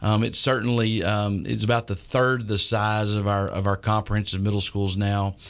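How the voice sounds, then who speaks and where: Speaking at a moderate pace with a Texan accent, a man with a fairly low voice keeps a monotone, flat intonation, very even loudness and hardly any pauses. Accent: Texan Southern US. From East Texas. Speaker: school superintendent. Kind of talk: radio interview. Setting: radio studio. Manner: hesitant with many fillers.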